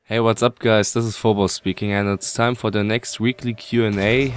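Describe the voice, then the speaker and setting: A man with a German accent and fairly even intonation. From Germany. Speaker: video game guide youtuber. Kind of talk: Q&A tutorial.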